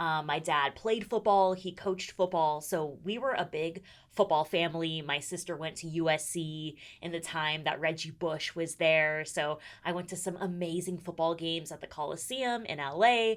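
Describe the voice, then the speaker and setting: In an American accent, a woman speaks with an enthusiastic tone at a moderate pace, her fairly low pitch varying in an ordinary way. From US West Coast, San Diego. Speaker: sports reporter and TV host. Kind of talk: podcast interview.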